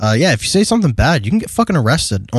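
A man with an American accent, high-pitched, with very wide pitch swings, against a quiet background. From US Midwest, Detroit area. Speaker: podcast co-host. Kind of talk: casual chat.

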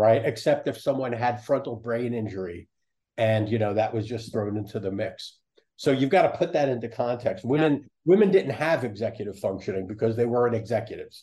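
A man's dark, mellow, somewhat breathy voice at a medium pitch, with ordinary pitch variation and a fairly quick pace. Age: 70s. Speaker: psychologist and professor. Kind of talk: interview.

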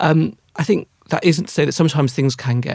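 A man talks at a moderate pace with lively intonation. His voice is somewhat breathy. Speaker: loneliness campaign director, expert guest. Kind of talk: panel discussion.

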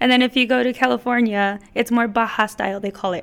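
In an American accent, a woman talks at a fairly quick pace in a normal speaking voice with fairly even intonation. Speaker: mariachi director and performer. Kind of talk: interview.

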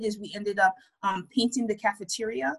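With a New York accent, a woman talks at a fairly quick pace and a medium pitch, with ordinary pitch variation in a dry, close sound with no echo. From Brooklyn, New York. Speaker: administrator and community volunteer. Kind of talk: interview.

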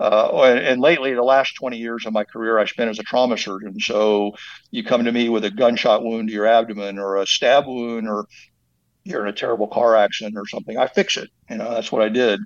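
A man with an American accent has a plain, everyday voice at a medium pitch. He talks at a fairly quick pace with fairly even intonation. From Texas. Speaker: trauma surgeon and animal rights activist. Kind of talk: interview.

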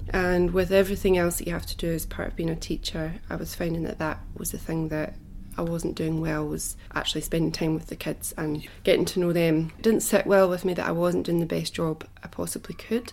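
A woman with a Scottish accent, fairly low in pitch, at a fairly quick pace with monotone, flat intonation. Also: hardly any pauses. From Scotland. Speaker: musician, former primary school teacher. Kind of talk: casual interview.

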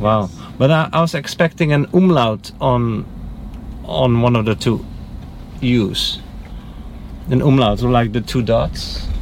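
A man with a Dutch accent talks at a medium pitch and a fairly slow pace, his intonation lively, with long, frequent pauses and noticeable background noise. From Netherlands. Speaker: rideshare driver. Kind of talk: casual chat. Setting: in a car.

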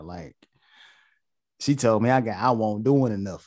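A man speaks at medium pitch and a moderate pace. His pitch varies in an ordinary way. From North Carolina. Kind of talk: casual chat.

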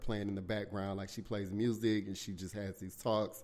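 A man with a Southern US accent at a fairly quick pace. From South Carolina, US South. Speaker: podcast host. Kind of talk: casual chat, solo podcast talk. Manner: animated, casual, profanity-heavy.

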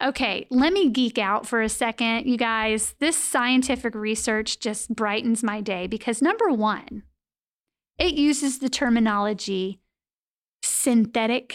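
A woman talks at a fairly slow pace with a fairly high pitch and ordinary pitch variation. Her tone is animated. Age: 40s. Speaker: financial counselor podcast host. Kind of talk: solo educational podcast monologue.

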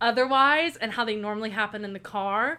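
A woman speaks at a moderate pace with an Oklahoma accent. Her fairly high voice sounds animated, with a bright, sharp tone. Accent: Oklahoma American English. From US South. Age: 20s. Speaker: college student. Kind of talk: casual chat.

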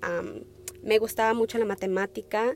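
Fairly slow is the pace of this woman's speech. She talks at a fairly high pitch. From Wisconsin, US (born in Peru). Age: 20s. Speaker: nursing student, podcaster. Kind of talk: solo personal monologue. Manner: hesitant, many fillers.

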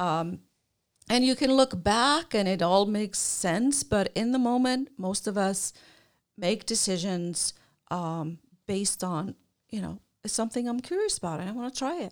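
A woman speaks with an Icelandic accent at a medium pitch, her intonation lively. The recording is very clean, with a silent background. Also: moderate pace. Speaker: career counselor and podcast co-host. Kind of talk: casual chat.

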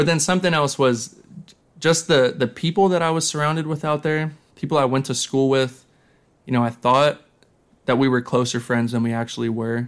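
The man uses a plain, everyday voice at a medium pitch. He speaks fairly quickly, and his pitch varies in an ordinary way. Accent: American. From US, central Pennsylvania (Lancaster). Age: 20s. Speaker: kickboxer and fashion designer. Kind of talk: casual interview chat.

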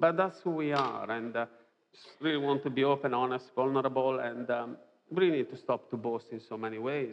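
Speaking fairly quickly with a strong non-native accent, a man uses a medium pitch and ordinary pitch variation. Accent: strong foreign accent in English. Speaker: preacher. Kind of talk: sermon. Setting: church.

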